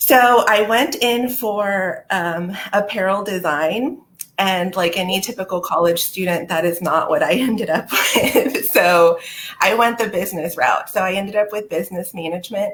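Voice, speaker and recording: Speaking at a moderate pace, a woman with a Spanish accent uses a medium pitch and ordinary pitch variation. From South Texas, McAllen, near Mexican border. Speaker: recruiting manager. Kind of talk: live interview.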